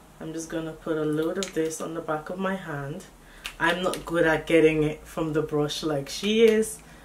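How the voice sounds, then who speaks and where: Over noticeable background noise and audible room echo, a woman with a very deep, low pitch speaks at a moderate pace, her intonation fairly even and her loudness swinging widely. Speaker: beauty YouTuber. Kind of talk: makeup tutorial. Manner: casual, chatty.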